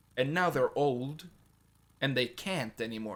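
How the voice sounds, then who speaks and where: A man speaks in an animated tone with lively intonation at a moderate pace. The recording is very clean, the background silent. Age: 20s. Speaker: gaming youtuber. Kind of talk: casual rant to camera.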